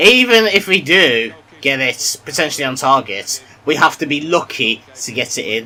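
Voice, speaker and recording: A man speaks with a British accent. His pitch swings very widely. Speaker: gaming YouTuber. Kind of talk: gameplay commentary. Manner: quiet.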